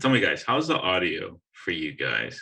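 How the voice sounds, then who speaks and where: The tone is bright and sharp as a man speaks with an American accent. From USA. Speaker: podcast host. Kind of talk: casual chat. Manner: loud. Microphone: sounds distant, headphone audio issue.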